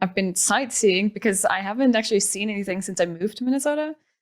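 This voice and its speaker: A woman with a Danish accent at medium pitch and a fairly quick pace, her pitch varying in an ordinary way. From Denmark. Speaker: pro esports player. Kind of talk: casual chat.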